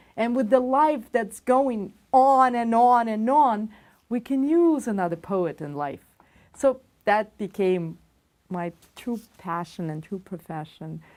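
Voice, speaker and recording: A woman speaks very slowly at a fairly high pitch, her voice swinging very widely in pitch. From Belarus. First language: Russian. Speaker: poet and musician. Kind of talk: interview.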